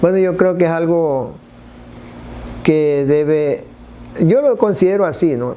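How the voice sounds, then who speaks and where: With ordinary pitch variation, a man's fairly high voice unfolds at a very slow pace. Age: 60s. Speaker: church member giving testimony. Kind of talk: testimony. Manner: halting.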